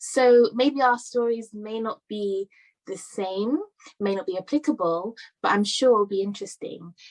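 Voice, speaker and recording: A woman with a British accent, in a dry, close sound with no echo. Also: fairly high pitch for a woman, ordinary pitch variation, moderate pace. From London, England. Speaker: conference speaker. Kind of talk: talk. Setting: virtual summit.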